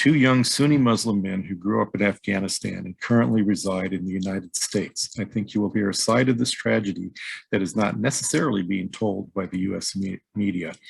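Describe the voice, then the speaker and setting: In an American accent, a man with a fairly low pitch and an unremarkable speaking voice talks at a moderate pace with ordinary pitch variation on a very clean recording with a silent background. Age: 50s. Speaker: podcast host. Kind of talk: scripted personal introduction.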